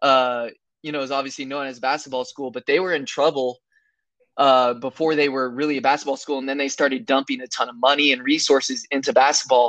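A man with an American accent and a fairly high pitch, talking at a very fast pace with fairly even intonation, big swings in loudness, and a quiet background. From California. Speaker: college basketball player. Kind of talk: casual interview.

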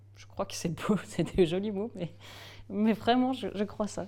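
This woman has a dark, mellow tone at a medium pitch. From Alsace, France (Strasbourg). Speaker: improv actor and puppeteer. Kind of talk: interview.

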